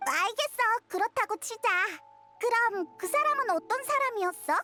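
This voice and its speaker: A put-on character voice at an extremely high pitch plays over faint background music. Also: moderate pace. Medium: fan dub. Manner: lively, blunt, excitable.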